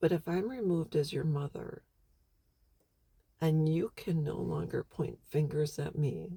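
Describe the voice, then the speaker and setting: The voice is somewhat breathy with a dark, mellow tone, moving at a fairly slow pace with long, frequent pauses and ordinary pitch variation. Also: woman, very deep, low pitch for a woman. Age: 50s. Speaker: vlogger. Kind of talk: personal monologue.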